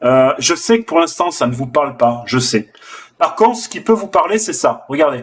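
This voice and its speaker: In a slight southern French accent, a man speaks in an animated tone with lively intonation. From southern France. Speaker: forex trader and trading teacher. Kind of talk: live trading session with viewers. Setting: live stream on video call and online video. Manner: casual and animated.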